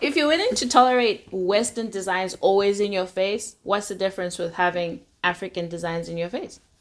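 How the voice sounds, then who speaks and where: A woman speaks at a fairly quick pace with hardly any pauses, her pitch medium with ordinary variation. It's an ordinary speaking voice. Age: young. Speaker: fashion enthusiast. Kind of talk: casual interview chat.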